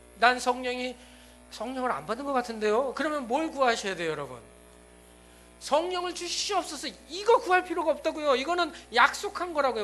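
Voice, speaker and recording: At a fairly quick pace, a man talks with an extremely high pitch and a bright, sharp tone. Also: lively intonation. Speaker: pastor. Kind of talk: sermon. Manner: fast.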